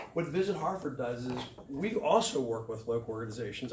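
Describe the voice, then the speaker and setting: A man speaks at a fairly quick pace with a medium pitch. Audible room echo surrounds his voice. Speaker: tourism organization director. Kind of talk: community meeting presentation. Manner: halting.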